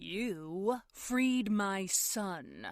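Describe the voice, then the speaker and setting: Put-on character voice from a woman, medium in pitch. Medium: read story. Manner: calm, condescending.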